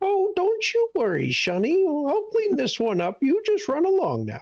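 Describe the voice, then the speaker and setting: A put-on character voice, female-sounding and extremely high-pitched. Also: moderate pace. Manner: condescending, reassuring.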